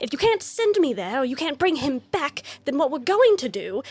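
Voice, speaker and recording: In a put-on character voice, the speaker races along at a very fast pace with very wide pitch swings and audible hissing. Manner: hissing, angry, threatening.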